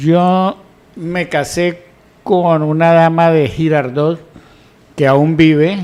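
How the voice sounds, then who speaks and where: At a very slow pace with long, frequent pauses, a man with a high pitch speaks in fairly even intonation. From Colombia, Huila (Yaguará). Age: 60s. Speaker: news panelist.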